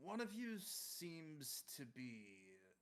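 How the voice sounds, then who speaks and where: A man doing a put-on character voice pitches it fairly high and swings it very widely up and down. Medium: actual play. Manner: polite, condescending, menacing.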